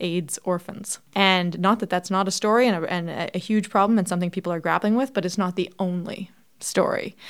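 Over a silent background in a very clean recording, a woman with a Canadian accent and a plain, everyday voice speaks at a medium pitch and a fairly quick pace with fairly even intonation. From Canada, Toronto. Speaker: history professor. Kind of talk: interview.

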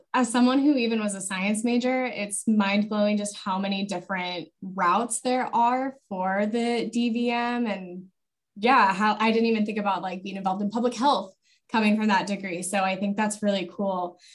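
At a moderate pace, a woman with an unremarkable speaking voice talks at medium pitch and with fairly even intonation. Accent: American. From US Rocky Mountain region. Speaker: university admissions advisor. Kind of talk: casual interview.

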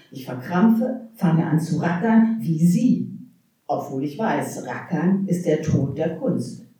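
Echo from the room is audible as a woman talks very slowly. Her fairly low voice has lively intonation. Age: 60s. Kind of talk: poetry slam performance; panel discussion.

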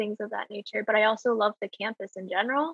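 A woman speaks with an American accent. Her pitch sits fairly high. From Greensboro, North Carolina. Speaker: legislative aide. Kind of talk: casual chat.

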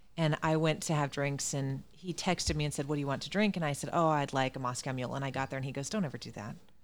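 Racing along at a very fast pace with hardly any pauses, a woman speaks in a very deep, low pitch with ordinary pitch variation. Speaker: podcast host guest. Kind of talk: casual interview chat.

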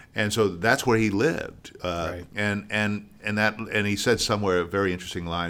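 A man with a resonant voice speaks at a moderate pace with fairly even intonation. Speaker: actor and theater founder. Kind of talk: casual interview chat. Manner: articulate, clear.

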